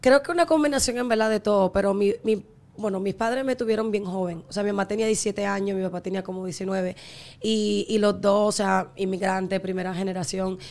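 With ordinary pitch variation, the woman's medium-pitched voice moves at a fairly quick pace. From Miami. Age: 20s. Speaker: singer and content creator; content creator. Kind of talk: casual chat. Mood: reflective, earnest. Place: studio. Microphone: studio mic.

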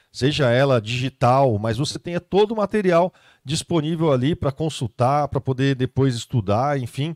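Against a quiet background with a dry sound and no echo, a man with a fairly high pitch talks at a moderate pace with ordinary pitch variation. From Brazil. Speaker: event host and moderator; event host, moderator. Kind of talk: live Q&A moderation. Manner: animated. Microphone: handheld.

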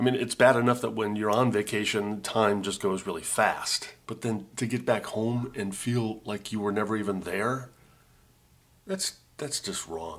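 Speech moves along at a moderate rate. Its intonation is fairly even. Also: man, fairly low pitch for a man. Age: 50s. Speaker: video blogger; vlogger. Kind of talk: casual vlog monologue. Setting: condo on vacation. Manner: halting, repeats words. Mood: wistful, reflective, bemused. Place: home room. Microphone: webcam.

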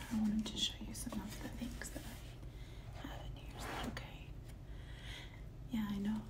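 Loud background noise runs through the clip. A woman speaks over it at a fairly slow pace. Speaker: ASMR artist. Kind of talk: ASMR show-and-tell talk to viewer. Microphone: phone near.

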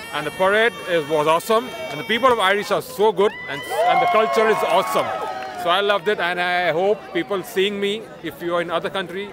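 Over clear music in the background, a man talks at a fairly quick pace, the sound dry with no echo. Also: ordinary pitch variation. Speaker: interviewee. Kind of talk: interview answer. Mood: enthusiastic, happy. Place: street. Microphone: phone near.

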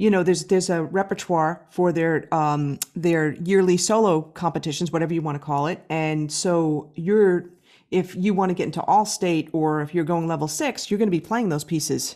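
In a very clean recording with a silent background, a woman with an American accent talks at a moderate pace in a slightly mellow tone, her fairly low pitch showing ordinary variation.

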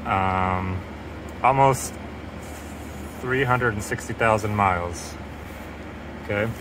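Very slow speech over noticeable background noise. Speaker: car mechanic video host. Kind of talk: tutorial. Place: garage.

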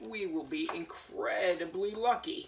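With light background noise behind him, a man speaks with ordinary pitch variation. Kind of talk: tutorial. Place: garage. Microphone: camera far.

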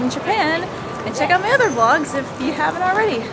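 A woman speaks with music in the background. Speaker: exchange student vlogger. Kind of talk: casual vlog chat. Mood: cheerful, laughing. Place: street. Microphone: phone near.

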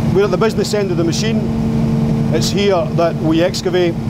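Against loud background noise, a man talks at a moderate pace. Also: dry sound with no echo. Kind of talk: guided tour explanation. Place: tunnel cave.

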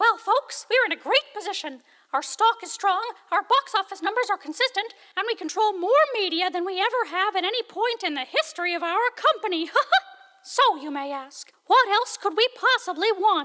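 A cartoonish character voice with extremely high pitch moves along at a moderate pace. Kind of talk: animated musical parody. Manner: chipper, salesmanlike.

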